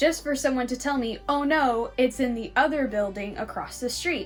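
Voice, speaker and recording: A woman with an American accent speaks at a high pitch and moderate pace, with ordinary pitch variation and music in the background. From California. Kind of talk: casual story time talk to camera.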